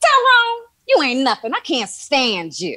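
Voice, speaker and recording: A woman puts on a character voice, pitched high. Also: moderate pace. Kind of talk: slangy, casual. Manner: annoyed, dismissive.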